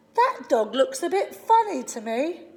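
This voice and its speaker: Squeaky and extremely high, a woman's put-on character voice swings very widely in pitch. She keeps a moderate pace. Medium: read story. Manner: gentle, playful storybook voice.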